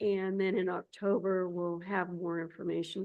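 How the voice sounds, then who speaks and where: At a medium pitch and a fairly slow pace, a woman speaks in a normal speaking voice. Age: 60s. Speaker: state agency director. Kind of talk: public board meeting report.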